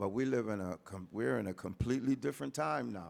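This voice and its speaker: A man talks at a moderate pace, his pitch fairly low. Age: 60s. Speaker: youth mentor and arts educator. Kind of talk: panel discussion.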